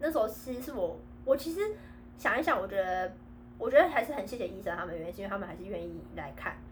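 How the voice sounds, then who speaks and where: A woman at medium pitch talking at a very fast pace, with very wide pitch swings and big swings in loudness, amid audible room echo and noticeable background noise. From Taiwan. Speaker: podcast co-host, returned overseas student. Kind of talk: casual chat.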